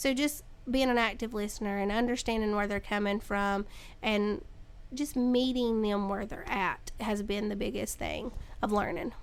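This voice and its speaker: Loud and at a moderate pace, a woman with a North Carolina accent speaks in a fairly high pitch with fairly even intonation. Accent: US South, North Carolina. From North Carolina, Caldwell County. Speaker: middle school teacher. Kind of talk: interview. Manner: casual, hesitant with ums.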